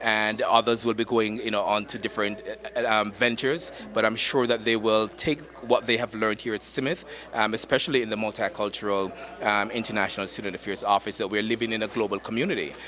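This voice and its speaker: Over noticeable background noise, a man with a Jamaican accent speaks at a medium pitch and a fairly quick pace with fairly even intonation. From Jamaica, Saint Thomas parish. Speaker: university student affairs administrator. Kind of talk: red carpet interview. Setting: red carpet at gala event.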